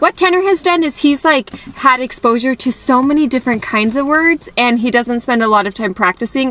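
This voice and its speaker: A woman with an American accent speaks in a high voice at a fairly quick pace, her intonation lively. Noticeable background noise runs underneath. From United States. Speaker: family travel vlogger. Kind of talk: casual vlog talk.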